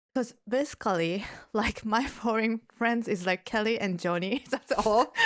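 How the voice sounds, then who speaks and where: A woman with a Japanese accent speaks at a fairly slow pace and a fairly high pitch. Her pitch varies in an ordinary way, and her loudness stays very even. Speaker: yoga teacher and podcast host. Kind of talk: casual chat. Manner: halting.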